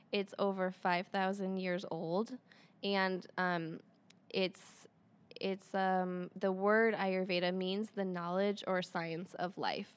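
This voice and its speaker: With a Midwestern American accent, a woman speaks very slowly at medium pitch in a flat, monotone way. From Michigan. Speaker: Ayurveda practitioner and acupuncturist. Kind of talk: interview about wellness.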